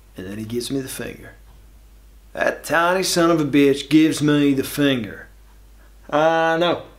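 Over a quiet background, a man talks at a moderate pace with big swings in loudness and ordinary pitch variation. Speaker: actor in comedic monologue. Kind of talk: acted comedic monologue. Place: studio.

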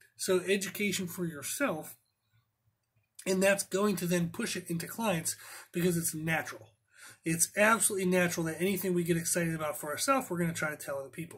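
Against a quiet background, a man talks very fast in a high-pitched voice with ordinary pitch variation. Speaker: personal trainer. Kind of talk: podcast monologue. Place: office. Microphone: webcam.

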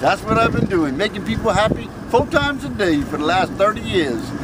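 Loud background noise surrounds a man talking at a moderate pace. The sound is dry, with no echo. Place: street. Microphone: phone near.

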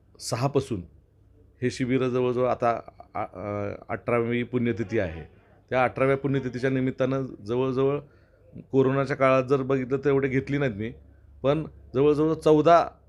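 A man's medium-pitched voice, an ordinary speaking voice with ordinary pitch variation. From Maharashtra, Tuljapur (Marathwada). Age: 40s. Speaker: politician and lawyer. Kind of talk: interview.

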